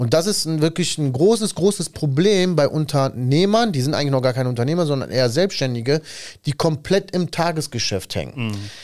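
A man talks at a fairly quick pace in an animated tone, his fairly high pitch rising and falling in lively intonation. The recording is very clean, with a silent background. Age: 30s. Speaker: podcast host and tradesman business owner. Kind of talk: casual chat.

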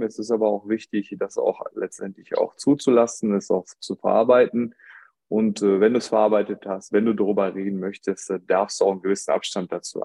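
A man's fairly low, dark, mellow voice at a moderate pace, dry and close with no echo. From Germany. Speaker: podcast guest. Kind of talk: casual chat.

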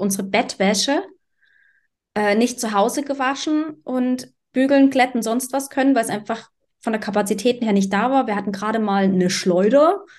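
With a plain, everyday voice, a woman speaks at a fairly high pitch, her pitch varying in an ordinary way. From eastern Germany, Dresden. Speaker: podcast co-host. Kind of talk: casual chat.

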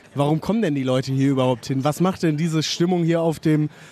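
The voice belongs to a man. His pitch rises and falls in an ordinary way. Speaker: podcast host. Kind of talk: casual interviews. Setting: outdoors at a market, live recording.

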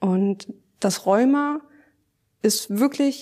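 Very slow speech comes from a woman with a fairly high pitch and a dark, mellow tone. Her pitch variation is ordinary. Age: 30s. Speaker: nurse with rheumatism, patient guest. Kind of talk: personal testimony interview.

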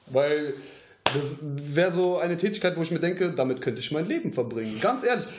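Talking at a fairly quick pace with lively intonation, a man with a fairly high pitch is heard over noticeable background noise and audible room echo. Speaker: aspiring voice actor. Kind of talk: casual chat. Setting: home podcast studio.

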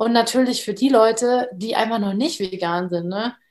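A woman with an unremarkable speaking voice talks at a moderate pace with a fairly high pitch. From Bavaria. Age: 20s. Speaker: startup co-founder and design student. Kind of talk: casual interview chat.

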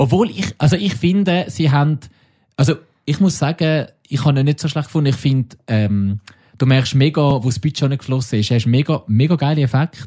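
Here a man talks at a fairly high pitch and a fairly quick pace, with a dark, mellow tone and a somewhat breathy sound. His loudness stays very even, and the recording is very clean with a silent background. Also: ordinary pitch variation. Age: 30s. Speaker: podcast co-host. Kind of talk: casual chat.

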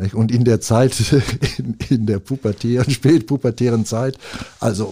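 Dark, mellow tone in a somewhat breathy male voice. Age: 70s. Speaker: music event organiser. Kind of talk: casual interview. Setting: studio.

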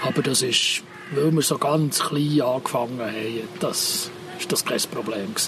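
Noticeable background noise behind a man of medium pitch at a fairly slow pace. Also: ordinary pitch variation. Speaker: agronomist. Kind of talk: casual chat.

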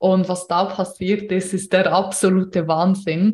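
A somewhat breathy woman talks with monotone, flat intonation. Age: 30s. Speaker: podcast host and business coach. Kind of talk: solo podcast monologue, unscripted.

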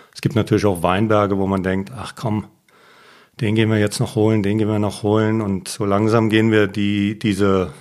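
In an unremarkable speaking voice, a man with a fairly low pitch talks at a moderate pace and with fairly even intonation on a very clean recording with a silent background. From Germany, Mosel region (Reil). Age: 50s. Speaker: winemaker. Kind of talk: casual interview.

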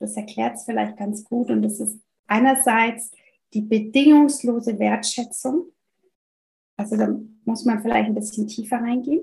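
A woman with a French accent speaks at a moderate pace, leaving long, frequent pauses. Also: big swings in loudness. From France. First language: French (speaking German). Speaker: family counselor and parenting coach. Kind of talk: interview conversation.

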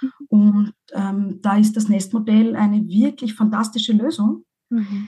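Somewhat breathy, with a dark, mellow tone, a woman speaks at a fairly high pitch and a fairly slow pace with fairly even intonation. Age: 40s. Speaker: divorced mother, podcaster. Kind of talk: interview.

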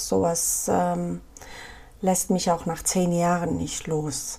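A woman with an Afghan accent, speaking at a very slow pace. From Afghanistan, Kabul. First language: Pashto (speaking German). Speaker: photojournalist. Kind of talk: interview.

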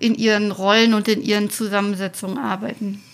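Her voice sits fairly high. This woman talks at a moderate speed. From Thuringia, Weimar. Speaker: podcast host. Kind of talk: interview.

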